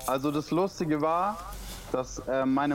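A man speaks in a normal speaking voice at a fairly high pitch. His pace is fairly slow, with ordinary pitch variation. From Stuttgart, southwest Germany. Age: 20s. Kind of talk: casual interview. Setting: Skype call.

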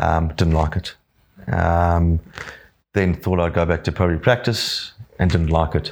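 A man with a South African accent speaks at a fairly slow pace in a very deep, low pitch, with fairly even intonation and very even loudness. Long, frequent pauses break up his speech on a very clean recording with a silent background. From South Africa (Johannesburg). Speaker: business owner. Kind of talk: casual chat.

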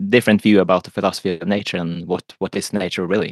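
A man with a Norwegian accent speaks fairly quickly with fairly even intonation. His very deep, low voice sounds dry and close with no echo. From Norway. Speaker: philosopher and economist. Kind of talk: casual chat. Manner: halting.

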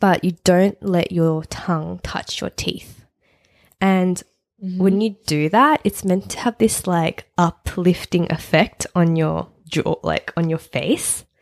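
With an Australian accent, a woman speaks very slowly at a fairly low pitch with ordinary pitch variation, recorded in a dry, close sound with no echo. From Sydney, Australia. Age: 30s. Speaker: podcast co-host. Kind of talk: casual chat.

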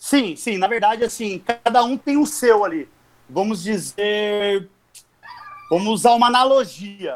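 A man with a high-pitched voice speaks at a fairly slow pace with ordinary pitch variation, leaving long, frequent pauses. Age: 40s. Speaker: competitive fighting game player. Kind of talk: casual chat.

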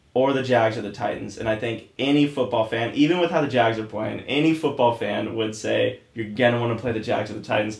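The speaker has an American accent and vocal fry, talking at a fairly quick pace with ordinary pitch variation. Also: man, medium pitch for a man, hardly any pauses. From Oregon. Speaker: podcast co-host. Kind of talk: casual chat.

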